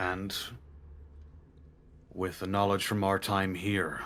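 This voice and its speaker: Putting on a character voice, a man speaks fairly low in pitch at a fairly slow pace, with monotone, flat intonation. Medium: actual play. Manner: earnest, resolute.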